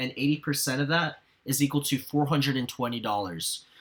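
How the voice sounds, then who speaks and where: A man's fairly high-pitched voice at a moderate pace, with ordinary pitch variation. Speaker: sneaker reseller and video creator. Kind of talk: tutorial. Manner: animated.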